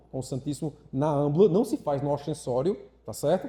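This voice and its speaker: A man's fairly high-pitched, somewhat breathy voice with a dark, mellow tone, lively intonation and a moderate pace. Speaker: catechist. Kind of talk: lecture.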